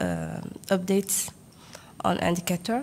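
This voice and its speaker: A woman's voice with a French accent. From Djibouti. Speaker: government statistics delegate. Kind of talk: workshop country report. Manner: halting, many fillers.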